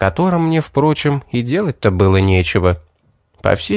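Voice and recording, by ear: The background is quiet while someone reads aloud in a natural voice.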